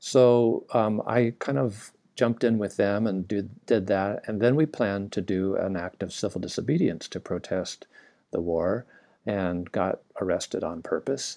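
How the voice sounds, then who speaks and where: Dark and mellow, this man's voice sits at a fairly low pitch. Its pitch variation is ordinary. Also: fairly slow pace, quiet background. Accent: Californian. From US, Southern California. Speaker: naturopathic doctor. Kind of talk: interview.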